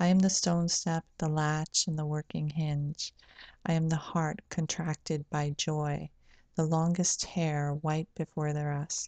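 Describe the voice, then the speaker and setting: At a fairly slow pace, the voice sounds dark and mellow, its intonation monotone and flat. The recording is dry with no echo, against a quiet background. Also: woman, very deep, low pitch for a woman. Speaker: poet and video channel host. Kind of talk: poetry reading, read aloud from a page. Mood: calm, gentle, reflective. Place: home room. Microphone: webcam.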